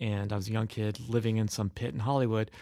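A man with an American accent talks in a normal speaking voice, fairly low-pitched and fairly quick. The recording is very clean, with a silent background. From US Midwest. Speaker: creative director at an ad agency. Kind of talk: casual interview chat.

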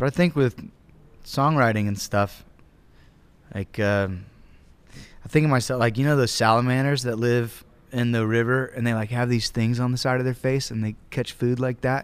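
With a Southern US accent, a man speaks at a medium pitch with fairly even intonation and long, frequent pauses. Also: moderate pace. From US South, Georgia (Acworth, near Atlanta). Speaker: musician, band member. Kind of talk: casual interview chat.

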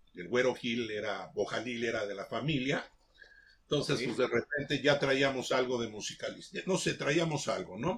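A man with an ordinary speaking voice, ordinary pitch variation and a moderate pace. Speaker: veteran DJ. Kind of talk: casual chat.

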